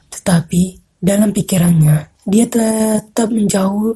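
A woman's somewhat breathy, dark and mellow voice at medium pitch, with fairly even intonation. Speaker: radio announcer. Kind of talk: horror narration. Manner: measured, suspenseful, atmospheric storytelling.

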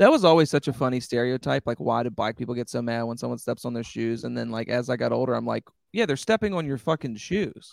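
An animated man talking at a very fast pace, dry and close with no echo, in a very clean recording with a silent background. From rural area. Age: 30s. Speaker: comedian. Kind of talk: casual chat.

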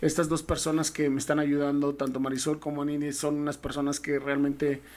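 A man with a Mexican accent speaks at a moderate pace in a fairly high pitch and a monotone, flat intonation. The recording is very clean, with a silent background. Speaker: former pro American football player. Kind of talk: interview storytelling. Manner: halting.

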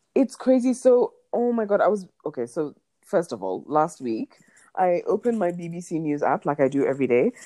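A woman speaks in a fairly low pitch with a dark, mellow tone. Her pitch swings very widely. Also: moderate pace. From Kenya. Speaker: podcast co-host. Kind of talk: casual chat. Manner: animated.

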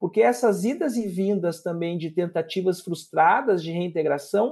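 Against a quiet background, a man with a dark, mellow tone talks at a moderate pace with lively intonation. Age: 40s. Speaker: public prosecutor. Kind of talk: interview.

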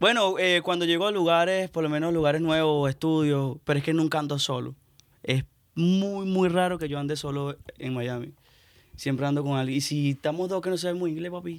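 An unremarkable speaking voice moves at a fairly quick pace. The intonation stays fairly even. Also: man, fairly high pitch for a man. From Venezuela. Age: young. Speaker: musician. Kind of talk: casual chat.

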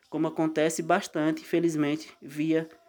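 A man's dark, mellow tone at a fairly slow pace. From Euclides da Cunha, Bahia, Brazil. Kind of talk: explanatory talk.

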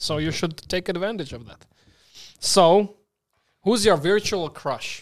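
Over a very clean, silent background, a man with a Slovak accent speaks at a high pitch and fairly slow pace, with long, frequent pauses and big swings in loudness. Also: ordinary pitch variation. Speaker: podcast host. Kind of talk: casual interview chat.

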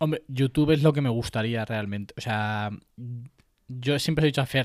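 Speaking in a plain, everyday voice, a man keeps a medium pitch with ordinary pitch variation. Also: very clean recording, silent background. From Spain, Puertollano (Castilla-La Mancha). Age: 20s. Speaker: tech podcaster and YouTuber. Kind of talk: casual interview.

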